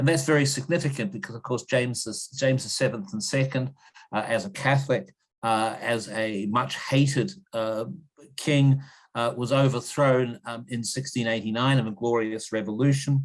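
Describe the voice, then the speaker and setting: With a New Zealand accent, a man talks at a moderate pace with a medium pitch and ordinary pitch variation. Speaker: history professor. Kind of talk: interview. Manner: halting, many repetitions and fillers.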